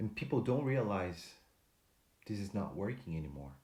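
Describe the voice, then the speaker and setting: This man speaks with a dark, mellow tone at a fairly low pitch, somewhat breathy, with audible room echo. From Brazil. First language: Portuguese. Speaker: motivational speaker. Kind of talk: motivational talk to camera. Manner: halting, with fillers and restarts.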